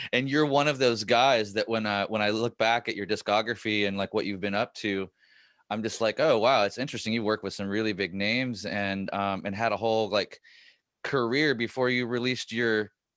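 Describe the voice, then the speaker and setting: A man's normal speaking voice, fairly low in pitch, with fairly even intonation and a fairly quick pace, against a quiet background. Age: 40s. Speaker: podcast host. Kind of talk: podcast interview.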